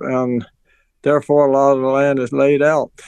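A man's fairly high, monotone voice with flat intonation and an American accent. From Maryland Eastern Shore. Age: 80s. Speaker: farmer. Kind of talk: radio interview.

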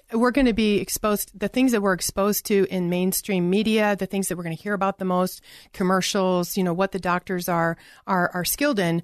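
Against a quiet background, a woman uses a normal speaking voice at medium pitch, moving at a fairly quick pace with fairly even intonation. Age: 50s. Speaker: natural medicine doctor. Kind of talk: interview.

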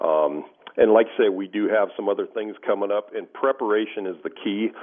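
Using a normal speaking voice, a man speaks at a moderate pace with ordinary pitch variation. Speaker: shooting range rep.

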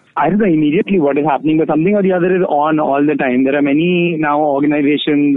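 A very fast, fairly high-pitched man's voice with fairly even intonation over noticeable background noise. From India, Delhi. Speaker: queer feminist activist. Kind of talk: interview. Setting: phone call.

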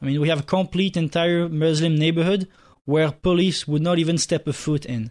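A man speaks with a French accent at a fairly quick pace, his pitch fairly high. The background is quiet and his intonation fairly even. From France, Nice. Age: 20s. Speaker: university student, club president. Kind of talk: talk radio interview. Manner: fast; halting.

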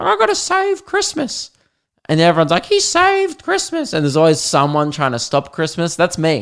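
With an Australian accent, a man speaks in an animated tone at a fairly quick pace on a very clean recording with a silent background. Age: 20s. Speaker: podcaster and stand-up comedian. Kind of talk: casual chatty podcast monologue with comic riffs and stand-up style bits. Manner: animated, jokey, sweary and conversational.

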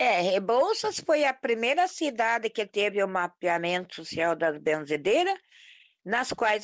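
A woman's fairly high voice at a very slow pace. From interior of Paraná, Brazil. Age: 50s. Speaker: folk healer. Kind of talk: interview testimony.

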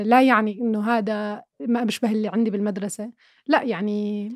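A woman's fairly high pitch over music in the background. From Jordan, Irbid. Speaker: film and TV critic. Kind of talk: casual interview.

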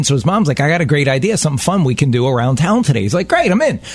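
A man speaks with lively intonation. Music plays in the background. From Baltimore. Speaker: radio host. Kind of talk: casual chat. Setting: studio.

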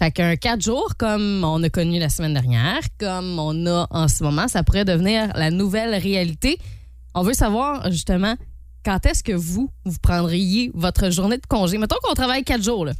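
A woman's medium-pitched voice in a Quebec accent, animated in tone, with lively intonation at a moderate pace. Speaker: morning radio host. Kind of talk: casual radio banter.

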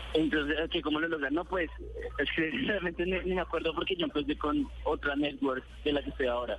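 A man at a fairly quick pace with very even loudness, amid noticeable background noise. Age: 20s. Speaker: youtuber. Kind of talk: phone interview. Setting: phone call. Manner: halting.

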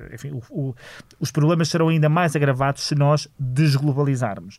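A man with a European Portuguese accent speaks at a moderate pace in a dark, mellow, somewhat breathy tone, his fairly high pitch showing ordinary variation. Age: 40s. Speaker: politician and lawyer, author. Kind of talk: interview.

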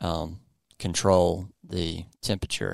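Very deep and low, a man's voice carries a Southern US accent and fairly even intonation on a very clean recording with a silent background. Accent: southern drawl. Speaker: podcast host and coffee roaster. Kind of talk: casual educational chat. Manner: slow.

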